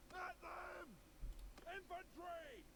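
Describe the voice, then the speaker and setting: Loud background noise surrounds a man doing a put-on character voice. His pitch is extremely high for a man. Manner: commanding, shouting.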